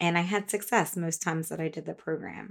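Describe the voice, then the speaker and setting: A plain, everyday voice from a woman, fairly low in pitch, with fairly even intonation at a moderate pace. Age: 40s. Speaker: dietitian and podcast host. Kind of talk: solo podcast monologue. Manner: casual, conversational.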